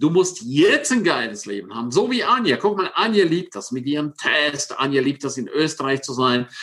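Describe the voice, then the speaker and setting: With an animated tone and very wide pitch swings, a man at fairly high pitch talks at a moderate pace with hardly any pauses. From Switzerland, Engadin (St. Moritz). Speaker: success coach. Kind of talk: interview.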